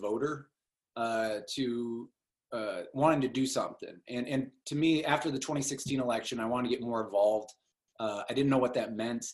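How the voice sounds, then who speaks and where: A man with a normal speaking voice keeps a medium pitch, ordinary pitch variation and a moderate pace. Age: 40s. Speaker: congressional candidate. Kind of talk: interview.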